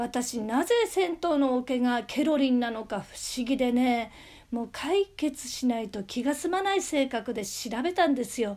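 This woman's voice is high-pitched, with lively intonation. She talks at a fairly slow pace. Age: 50s. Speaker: amateur radio DJ and singer. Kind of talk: solo talk show.

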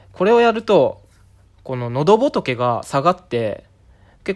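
Pitch swings very widely in this very clean recording with a silent background. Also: man. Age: 30s. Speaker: podcaster. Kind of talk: casual solo monologue. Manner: improvised, with frequent fillers.

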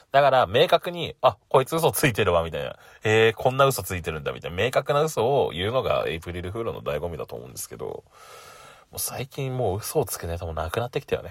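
A man at a very fast pace, with big swings in loudness and a dry, close sound with no echo. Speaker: podcaster. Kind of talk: casual solo talk. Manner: laughs often.

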